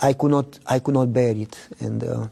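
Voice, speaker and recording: This man talks fairly slowly in a Romanian accent, his medium-pitched voice dark and mellow in tone. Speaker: pastor. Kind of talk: testimony.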